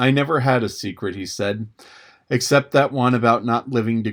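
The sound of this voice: Throughout, the text is read in an unforced reading voice.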